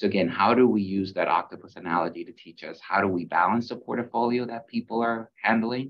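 A man's fairly quick delivery with hardly any pauses, big swings in loudness and ordinary pitch variation. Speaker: medical school dean. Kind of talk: panel discussion. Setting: video call. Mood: thoughtful, earnest. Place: office. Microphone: video call.

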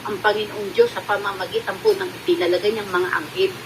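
A woman talks at a fairly quick pace. Noticeable noise sits in the background. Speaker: faith healer. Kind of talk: religious testimony livestream.

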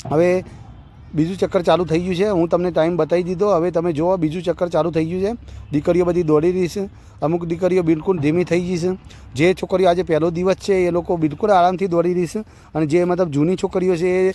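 A man's high-pitched, flat, monotone voice with music in the background. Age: 40s. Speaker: running coach. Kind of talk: live commentary. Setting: outdoors.

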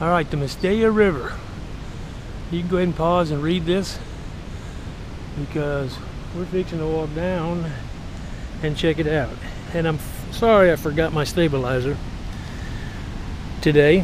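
At a moderate pace, a man speaks with fairly even intonation and long, frequent pauses. The sound is dry with no echo, though background noise is noticeable. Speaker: travel vlogger. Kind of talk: casual vlog chat. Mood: relaxed, admiring. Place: open country. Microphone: phone near.

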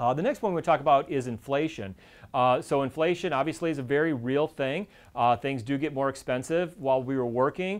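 A man is speaking at a fairly quick pace. His pitch variation is ordinary. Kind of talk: educational presentation. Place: office. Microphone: lapel.

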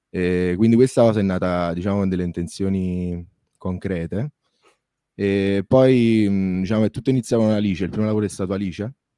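Dry and close with no echo in a very clean recording with a silent background, a man speaks at a fairly quick pace in a dark, mellow tone, fairly low in pitch with fairly even intonation. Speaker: musician, video maker, band manager. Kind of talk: interview.

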